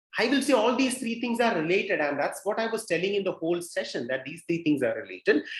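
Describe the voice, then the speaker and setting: This is a man talking. His pitch swings very widely. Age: 30s. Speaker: fitness expert. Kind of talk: Q&A session with students.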